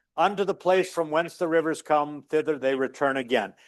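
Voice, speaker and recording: This man has an ordinary speaking voice, a fairly high pitch, ordinary pitch variation and a moderate pace. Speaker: physics lecturer. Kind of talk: university classroom lecture. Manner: casual, conversational.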